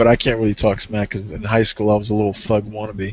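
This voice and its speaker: Fairly low in pitch and at a fairly quick pace, a man talks in an unremarkable speaking voice. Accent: American. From USA. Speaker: online show host. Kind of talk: casual chat.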